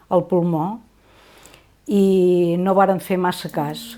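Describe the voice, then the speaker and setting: The woman's voice has a dark, mellow tone. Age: 60s. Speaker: patient. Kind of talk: testimony. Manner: halting, with fillers.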